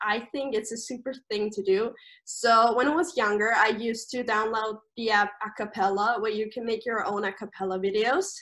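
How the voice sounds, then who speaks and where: Her German accent comes through as a woman speaks at a fairly high pitch. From Austria. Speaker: camp staff member. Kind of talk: casual interview.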